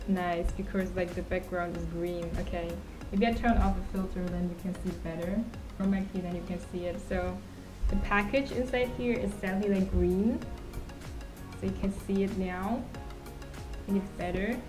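Clear music plays in the background as a woman speaks. She keeps a moderate pace with long, frequent pauses. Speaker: streamer. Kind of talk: casual livestream chat. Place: home room. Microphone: studio mic.

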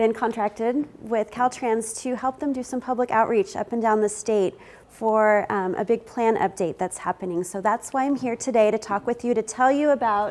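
Ordinary pitch variation at a moderate pace from a woman. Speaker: keynote presenter. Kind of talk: conference presentation. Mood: friendly, smiling. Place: meeting room. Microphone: lapel.

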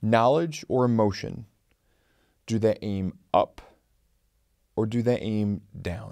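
A man at a fairly low pitch, lively intonation and a quiet background. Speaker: channel host, lawyer. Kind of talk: tribute commentary to camera. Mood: solemn, reflective. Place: studio. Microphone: studio mic.

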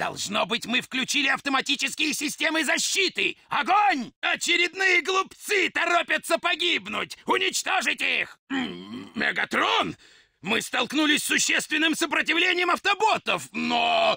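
A man speaks in a put-on character voice pitched extremely high. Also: moderate pace. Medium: dub. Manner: shouting, commanding, with gloating laughter.

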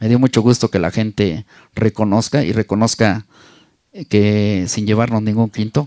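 Here a man speaks at a fairly low pitch. The background is quiet. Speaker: sound system DJ. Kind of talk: casual interview. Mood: earnest, reflective. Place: home room. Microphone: handheld.

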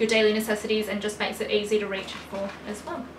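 A woman talks fast at a medium pitch with little pitch movement, over clear background noise.

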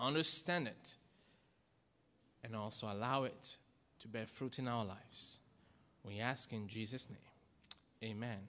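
A man with a bright, sharp tone talks at a fairly slow pace, leaving long, frequent pauses, his pitch moving in an ordinary way. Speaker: pastor. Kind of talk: sermon. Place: church. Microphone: podium.

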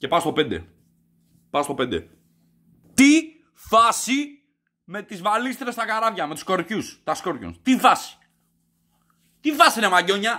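Against a quiet background, a man with a high pitch and a bright, sharp tone uses a raised, projected voice in a furious, animated tone, with very wide pitch swings and big swings in loudness, at a fairly slow pace with long, frequent pauses. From Greece. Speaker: comedy vlogger. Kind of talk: angry rant / comedy review. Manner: loud, furious, sweary and sarcastic; animated, exasperated, repeating words and stuttering. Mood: mock outrage. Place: home room. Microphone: webcam.

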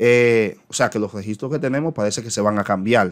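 A man's fairly low voice at a fairly quick pace, ordinary pitch variation, quiet background. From Dominican Republic. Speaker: teacher and education YouTuber; teacher explaining a circular. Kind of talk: educational commentary on an official circular. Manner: hesitant, frequent filler eh. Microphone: webcam.

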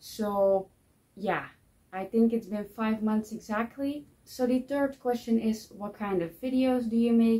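A woman's fairly high, somewhat breathy voice, dark and mellow, with a non-native accent, fairly even intonation and a fairly slow pace. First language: not English. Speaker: book vlogger. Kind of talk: casual vlog monologue. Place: home room.

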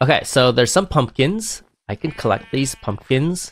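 A man at medium pitch with very wide pitch swings and a fairly slow pace, with music in the background. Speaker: livestreamer, gamer. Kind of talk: casual gaming livestream chat. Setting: livestream.

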